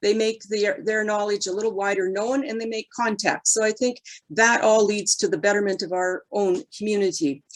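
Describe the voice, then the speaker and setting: Using a normal speaking voice with a Canadian accent, the speaker keeps a moderate pace, ordinary pitch variation and hardly any pauses. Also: woman, fairly high pitch for a woman. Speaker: mayoral candidate, deputy mayor. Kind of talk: candidate forum answer.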